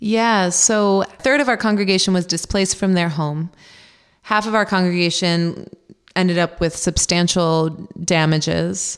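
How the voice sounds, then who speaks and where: At a moderate pace, a woman with a plain, everyday voice and a fairly low pitch speaks with very even loudness and ordinary pitch variation. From rural Pennsylvania. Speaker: Lutheran pastor. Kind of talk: interview conversation.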